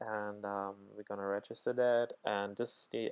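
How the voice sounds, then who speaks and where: A man with a non-native accent speaks at a fairly slow pace in a dry, close sound with no echo. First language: not English. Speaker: programming tutor. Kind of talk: tutorial. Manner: halting, many fillers.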